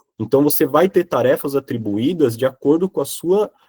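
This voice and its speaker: A man talks at a moderate pace with a fairly high pitch. His intonation is lively. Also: dry, close sound with no echo. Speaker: software professional giving career talk. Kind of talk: online class talk with Q&A. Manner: hesitant, many fillers.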